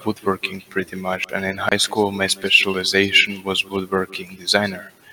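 A man is speaking. Background noise is noticeable. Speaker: voice-lounge questioner. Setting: online voice chat.

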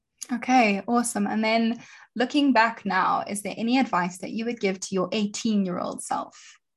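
With a fairly high pitch and ordinary pitch variation, a woman talks at a moderate pace in an ordinary speaking voice. The background is quiet. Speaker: podcast host. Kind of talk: interview.

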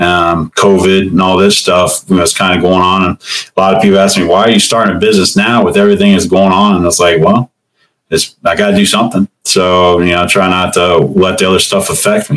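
A man with a Midwestern American accent speaks at a very deep, low pitch and a fairly quick pace. His intonation is monotone and flat, and his loudness is very even. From Ohio, Cincinnati. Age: 50s. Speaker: truck owner-operator and Marine veteran. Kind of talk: casual interview.

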